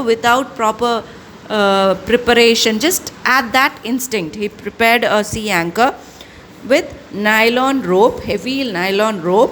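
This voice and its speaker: A woman's fairly high voice is heard with noticeable noise in the background. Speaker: school English teacher. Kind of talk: online class lecture. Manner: slow; halting, many fillers and self-corrections.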